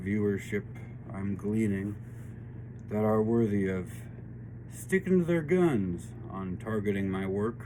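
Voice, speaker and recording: A man speaks with a fairly low pitch. Audible echo from the room surrounds his voice. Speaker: tarot and spiritual reading channel host. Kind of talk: spiritual reading monologue. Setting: home studio workshop. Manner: slow because of painkillers.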